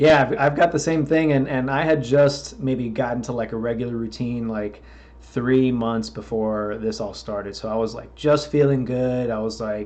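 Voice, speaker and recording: With a plain, everyday voice, a man talks at a moderate pace and medium pitch, using ordinary pitch variation and hardly any pauses. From Florida. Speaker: podcast host and metal musician. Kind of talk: casual interview chat.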